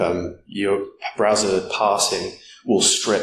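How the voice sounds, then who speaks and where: Audible room echo and noticeable background noise surround a man whose voice sits fairly low in pitch. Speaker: security conference speaker. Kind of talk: conference talk. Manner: fast.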